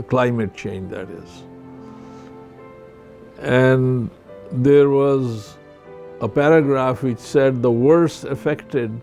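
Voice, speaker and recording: With music in the background, a man speaks very slowly at medium pitch with ordinary pitch variation. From Pakistan, border area with Afghanistan. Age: 70s. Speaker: retired surgeon. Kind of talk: interview answer.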